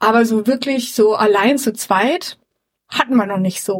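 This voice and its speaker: Her voice sits fairly high as the woman speaks at a moderate pace. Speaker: podcast co-host. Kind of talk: casual chat. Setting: empty flat. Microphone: suboptimal equipment, poorer sound.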